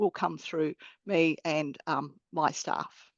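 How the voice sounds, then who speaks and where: The speaker is a woman with an Australian accent. She talks at a fairly slow pace. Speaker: accountant and bursar. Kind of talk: webinar interview.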